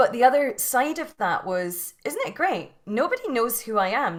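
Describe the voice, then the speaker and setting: A woman with a Scottish accent. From Scotland. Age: 40s. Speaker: yoga teacher and mindset coach. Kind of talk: interview. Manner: halting, many repetitions.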